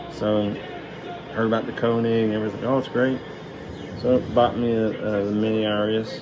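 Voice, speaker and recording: A man's medium-pitched, monotone, flat delivery at a moderate pace with long, frequent pauses, audible room echo and noticeable background noise. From Kentucky. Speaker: knife collector vlogger. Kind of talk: casual show-and-tell video. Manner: casual, halting with fillers.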